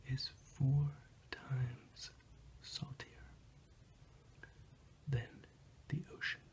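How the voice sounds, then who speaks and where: Soft-spoken whispering at a very slow pace. There are long, frequent pauses. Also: man. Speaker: ASMR role-play geography professor. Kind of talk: ASMR role-play lesson. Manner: whispered, soft-spoken.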